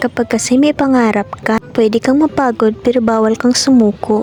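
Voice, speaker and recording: A fairly quick pace, fairly even intonation and a Visayan accent, over noticeable background noise. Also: woman. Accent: Visayan accent in Tagalog. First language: Bisaya (Cebuano) (speaking Tagalog). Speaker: vlogger, aspiring worker in Japan. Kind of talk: vlog narration.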